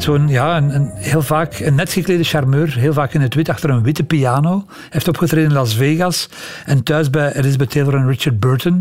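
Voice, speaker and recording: A man with a fairly high voice speaks fairly quickly against noticeable background noise. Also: ordinary pitch variation. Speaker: music historian and podcast storyteller. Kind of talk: storytelling conversation. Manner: animated, laughing at times.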